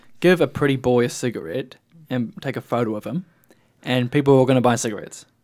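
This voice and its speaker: A man's very fast, medium-pitched speech with a New Zealand accent and ordinary pitch variation. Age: young. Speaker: student radio host. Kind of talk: casual radio talk. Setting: radio studio.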